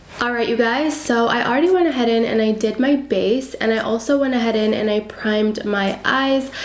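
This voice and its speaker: A woman's high-pitched voice is heard with audible room echo and noticeable background noise. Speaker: beauty YouTuber. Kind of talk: tutorial.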